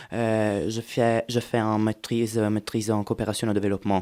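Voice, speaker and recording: Dark and mellow in tone, a man speaks at a medium pitch with fairly even intonation. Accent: Italian. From central Italy, near Rome. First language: Italian (speaking French). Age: 30s. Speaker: European volunteer. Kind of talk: interview. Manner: halting, many hesitations.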